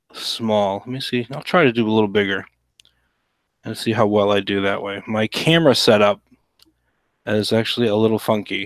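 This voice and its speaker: A man's fairly low voice at a moderate pace, with ordinary pitch variation, a relaxed tone, and long, frequent pauses. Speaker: cartoonist livestreaming drawing. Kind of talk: casual livestream chat while drawing. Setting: home livestream. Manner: hushed, keeping voice quiet; relaxed, hesitant with many fillers.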